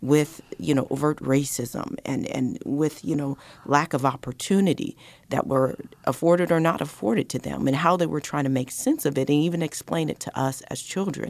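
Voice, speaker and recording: Very deep, low-pitched speech from a woman with an American accent, vocal fry, lively intonation and a moderate pace. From Colorado. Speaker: diversity and inclusion director for a city. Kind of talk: radio interview.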